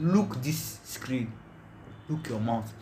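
Fairly slow delivery with audible room echo. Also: man. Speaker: podcast host. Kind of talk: casual chat.

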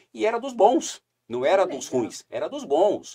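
Recorded with a dry, close sound with no echo, a man talks at a moderate pace. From southern Brazil, Paraná (Curitiba, then Foz do Iguaçu). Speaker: tourism company CEO. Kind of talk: casual interview chat.

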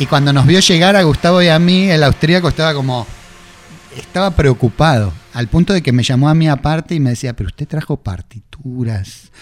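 Background noise is noticeable behind a man with a fairly high pitch. He speaks at a fairly quick pace, his intonation lively. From Argentina, Buenos Aires northern suburbs (Vicente López). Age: 50s. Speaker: rock musician. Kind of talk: interview.

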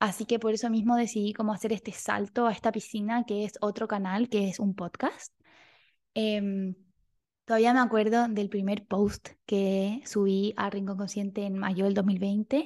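A woman speaks at a fairly slow pace and medium pitch, her intonation flat and monotone, against a quiet background. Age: 20s. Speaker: clinical psychologist and podcast host. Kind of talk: casual solo monologue.

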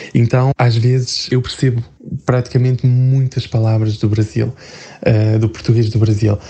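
Over noticeable background noise, a man talks in monotone, flat intonation with very even loudness and long, frequent pauses. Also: medium pitch for a man, moderate pace. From northern Portugal, near Porto. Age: 20s. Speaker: human resources worker. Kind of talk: interview. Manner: hesitant.

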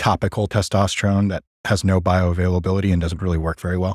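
A man with a very deep, low pitch talks at a very fast pace in a monotone, flat intonation on a very clean recording with a silent background. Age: 30s. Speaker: gym owner and personal trainer. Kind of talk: casual chat.

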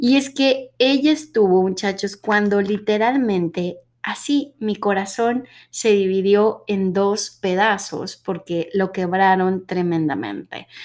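A woman with a medium-pitched voice talks at a very slow pace, recorded very cleanly against a silent background. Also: ordinary pitch variation. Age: 30s. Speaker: podcast host. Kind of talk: casual monologue.

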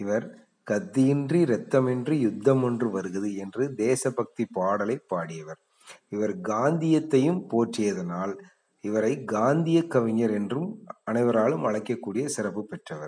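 This man has an unremarkable speaking voice at a medium pitch, with lively intonation. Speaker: school teacher. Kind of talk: lecture.

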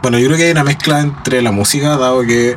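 Against noticeable background noise, a man with a Chilean accent speaks at a medium pitch with fairly even intonation. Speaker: singer in a tribute band. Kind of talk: casual interview.

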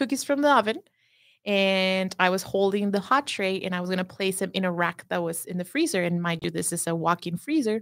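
With a Spanish accent, a woman speaks at a moderate pace and medium pitch in a bright, sharp tone, using ordinary pitch variation. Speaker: pastry chef. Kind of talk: casual chat.

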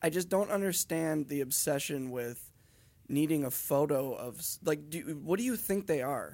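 Here is a man with a plain, everyday voice, a fairly high pitch and ordinary pitch variation, speaking at a moderate pace on a very clean recording with a silent background. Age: 30s. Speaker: podcast co-host. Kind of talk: casual chat.

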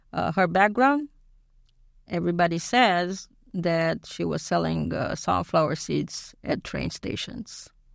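A woman speaks in a Romanian accent on a very clean recording with a silent background. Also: fairly slow pace. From Romania (Bucharest). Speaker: immigrant guest. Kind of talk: interview. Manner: halting.

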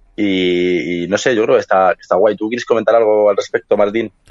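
A man with a Madrid accent. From Madrid, Spain. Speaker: podcast co-host. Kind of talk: casual chat.

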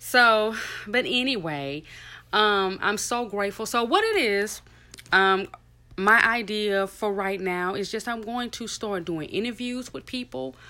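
On a very clean recording with a silent background, a woman speaks at a fairly slow pace with a fairly high pitch, lively intonation, and a tone both bright and sharp yet warm. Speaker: podcaster. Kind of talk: solo podcast monologue, faith-based. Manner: informal, chatty, warm; earnest, inspirational.

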